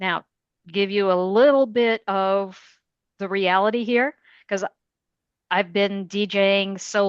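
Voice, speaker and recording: Talking at a very slow pace with long, frequent pauses, a woman of medium pitch keeps her intonation fairly even. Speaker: radio DJ. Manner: slow, clear enunciation.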